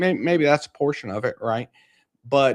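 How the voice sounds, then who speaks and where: A man with an American accent talks in a very clean recording against a silent background. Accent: slight country. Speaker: market commentary livestreamer. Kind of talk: casual live stream commentary.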